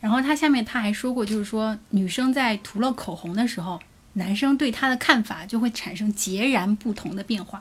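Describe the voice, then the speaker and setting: A somewhat breathy woman with a fairly high pitch speaks at a moderate pace with ordinary pitch variation. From Jiangsu, China. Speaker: podcast co-host. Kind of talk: live-stream casual chat.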